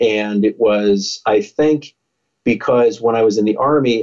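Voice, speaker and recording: A man with an American accent and a normal speaking voice talks at a fairly slow pace with ordinary pitch variation. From United States. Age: 50s. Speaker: motivational speaker and former police officer. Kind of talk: interview.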